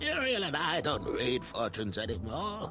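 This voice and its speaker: A cartoonish character voice moves at a moderate pace. Loud background noise runs underneath. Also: man. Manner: gruff, wry.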